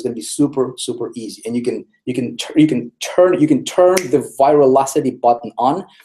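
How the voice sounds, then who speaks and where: A man is speaking. His tone is energetic. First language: not English. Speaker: online marketing trainer. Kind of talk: webinar presentation. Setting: live online broadcast. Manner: energetic, repetitive.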